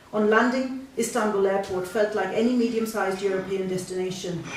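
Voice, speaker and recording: A woman's normal speaking voice at a medium pitch, with fairly even intonation. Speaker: fiction writer reading her own story. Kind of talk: short story reading at a live spoken word event. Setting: live event in a bookshop.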